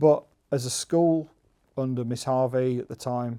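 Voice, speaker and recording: A man in a West Midlands accent speaks with a dark, mellow tone. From Staffordshire, England (Stafford, then Bloxwich). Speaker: local resident. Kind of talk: interview reminiscence.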